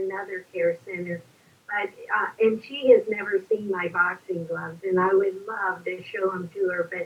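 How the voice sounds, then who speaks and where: Over noticeable background noise, a woman talks at a moderate pace in a monotone, flat intonation. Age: 80s+. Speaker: elderly boxing class student. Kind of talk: interview.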